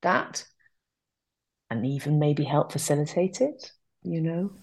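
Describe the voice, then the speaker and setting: A woman with a southern English accent and a very deep, low pitch, against a quiet background. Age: 40s. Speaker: outdoor nature business owner. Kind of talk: casual interview chat.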